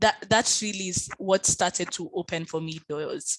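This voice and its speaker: A woman with a normal speaking voice speaks at a medium pitch with ordinary pitch variation. The sound is dry and close, with no echo. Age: young. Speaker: lawyer and keynote speaker. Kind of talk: keynote talk and Q&A answer.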